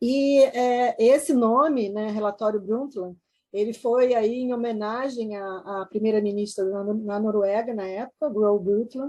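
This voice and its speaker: With a dark, mellow tone, a woman talks fairly slowly at a fairly high pitch with ordinary pitch variation. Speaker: environmental law specialist. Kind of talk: online panel talk. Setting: video call. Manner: halting, many fillers.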